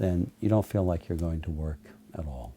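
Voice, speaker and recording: Somewhat breathy and dark, mellow in tone, a man talks in a very deep, low pitch with ordinary pitch variation. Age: 60s. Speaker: trial lawyer. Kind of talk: interview monologue.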